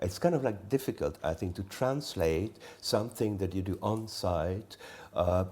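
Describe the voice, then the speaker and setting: A man with a Swiss accent and a dark, mellow tone speaks at a fairly low pitch and moderate pace with ordinary pitch variation, in a very clean recording with a silent background. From Switzerland, Engadine valley. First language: Romansh. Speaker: artist. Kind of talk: onstage artist conversation. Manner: halting.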